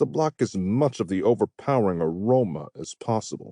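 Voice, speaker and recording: Against a quiet background, a man with a dark, mellow tone talks at a moderate pace with lively intonation, the sound dry and close with no echo. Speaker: audiobook narrator. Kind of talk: audiobook narration.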